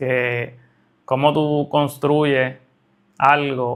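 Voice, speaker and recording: There is no background sound at all, and the recording is very clean. The delivery stays monotone and flat throughout. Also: man. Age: 30s. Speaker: trading educator / entrepreneur. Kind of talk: monologue to camera.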